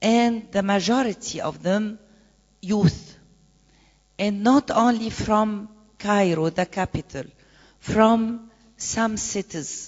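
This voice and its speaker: A somewhat breathy woman with an Arabic accent and medium pitch, at a very slow pace. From Egypt. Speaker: activist and presidential candidate. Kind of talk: conference panel talk. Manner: halting, many hesitations.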